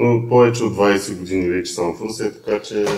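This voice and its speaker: A man at a moderate pace, fairly even intonation, noticeable background noise behind him. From Bulgaria, Isperih. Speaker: auto parts trader. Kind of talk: casual podcast chat.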